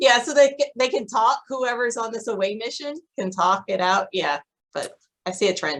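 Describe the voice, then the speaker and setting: A woman talks in an ordinary speaking voice at a fairly high pitch. Her pace is moderate and her intonation lively. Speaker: podcast co-host. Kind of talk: casual chat.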